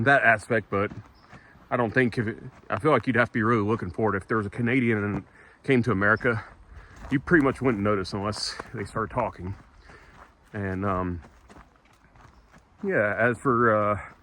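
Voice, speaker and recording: With a Southern US accent and long, frequent pauses, a man speaks at a fairly low pitch with ordinary pitch variation amid noticeable background noise. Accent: southern drawl. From US South. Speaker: travel vlogger. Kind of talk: walk and talk vlog. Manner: casual, halting with many fillers.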